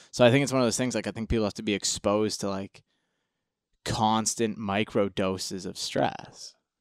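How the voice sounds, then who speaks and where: A man with an unremarkable speaking voice speaks at a moderate pace and fairly low pitch with fairly even intonation, the sound dry and close with no echo on a very clean recording with a silent background. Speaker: powerlifter. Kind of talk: casual chat.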